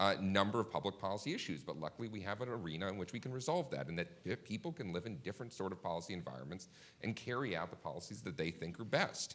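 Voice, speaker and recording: With an American accent, a man rattles along at a very fast pace with hardly any pauses, lively intonation and vocal fry. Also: fairly low pitch for a man. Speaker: policy analyst. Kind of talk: panel discussion. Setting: conference stage with audience.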